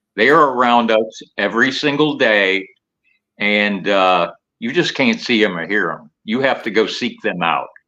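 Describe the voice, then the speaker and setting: At a fairly slow pace, a man with a medium-pitched voice speaks with lively intonation. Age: 60s. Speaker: paranormal investigator, EVP expert. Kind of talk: live talk show interview. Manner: halting.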